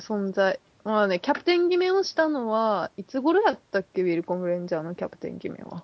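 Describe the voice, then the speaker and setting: The speech is mumbled at a very fast pace with hardly any pauses. Loudness swings widely, and the pitch swings are very wide too. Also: woman, medium pitch for a woman. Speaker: podcast co-host. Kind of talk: casual chat. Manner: mumbling.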